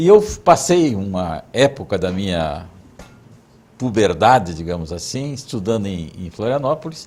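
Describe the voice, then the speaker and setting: Very wide pitch swings run through what a man says. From southern Brazil, Mafra, Santa Catarina. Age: 60s. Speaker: interviewee recounting his life. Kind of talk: oral history interview.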